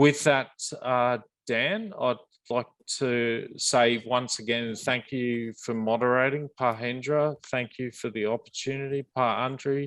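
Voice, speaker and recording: In an Australian accent, a man talks at a fairly slow pace with medium pitch and fairly even intonation. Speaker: mining company executive. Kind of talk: panel presentation and Q&A. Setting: virtual roundtable, online call. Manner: halting, many repetitions and fillers.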